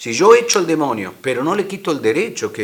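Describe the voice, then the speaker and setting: Fairly quick and full of very wide pitch swings, this voice with an Argentine accent comes through noticeable background noise. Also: man. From Argentina. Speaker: minister on deliverance and healing. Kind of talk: interview on a religious program. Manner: hesitant, with fillers and repeats.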